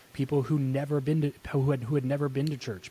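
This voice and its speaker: A man speaks at medium pitch, sounding somewhat breathy. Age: 30s. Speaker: podcast host and entrepreneur. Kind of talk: interview. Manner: casual, conversational.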